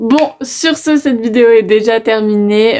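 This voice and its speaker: A woman's voice, fairly high in pitch. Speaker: YouTuber. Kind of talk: casual vlog talk to camera. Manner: hesitant, many fillers.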